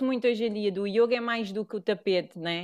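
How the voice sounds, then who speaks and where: This woman speaks with a European Portuguese accent. Her pace is fairly quick and her pitch varies in an ordinary way. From Portugal. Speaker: yoga teacher. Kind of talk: casual chat.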